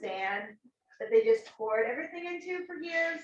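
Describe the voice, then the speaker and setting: This woman has a plain, everyday voice, talking at a moderate pace with lively intonation. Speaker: student club officer. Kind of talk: club meeting introduction.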